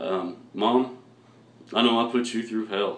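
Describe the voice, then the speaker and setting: A man is speaking here. Audible room echo surrounds his voice. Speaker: vlogger. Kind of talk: personal vlog testimony.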